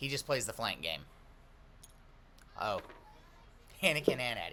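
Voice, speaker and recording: A man with a medium-pitched voice, a bright, sharp tone and vocal fry talks at a moderate pace, his pitch swinging very widely. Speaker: game commentator. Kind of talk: live commentary. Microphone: mic maxed out, a little quiet.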